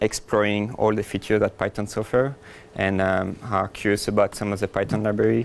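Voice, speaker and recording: Someone with a French accent speaks at a very fast pace in monotone, flat intonation on a very clean recording with a silent background. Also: man. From France. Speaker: software engineer, conference speaker. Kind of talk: conference talk.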